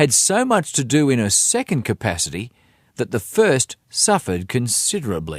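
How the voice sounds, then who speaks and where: A man with an Australian accent and vocal fry, very wide pitch swings, a moderate pace, and a dry, close sound with no echo on a very clean recording with a silent background. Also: medium pitch for a man. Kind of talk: audiobook reading.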